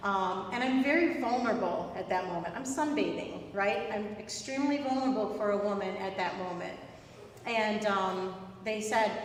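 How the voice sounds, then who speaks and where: A woman speaks with a slight New York accent at a moderate pace, her fairly high voice showing ordinary pitch variation. The room echo is audible and background noise is noticeable. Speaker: spiritual medium, guest speaker. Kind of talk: inspirational talk at a worship service. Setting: hall with live audience, streamed. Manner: hesitant, many fillers.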